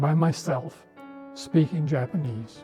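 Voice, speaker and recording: A man with an Upper Midwest accent speaks at a fairly high pitch with ordinary pitch variation. Music plays in the background. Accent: Upper Midwest American. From northern Minnesota, USA. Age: 80s+. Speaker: retired Lutheran pastor; war veteran. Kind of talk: personal testimony to camera.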